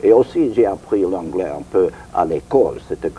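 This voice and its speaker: Noticeable background noise behind a male speaker at a fairly slow pace. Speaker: interviewee, former show producer. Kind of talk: interview. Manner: halting.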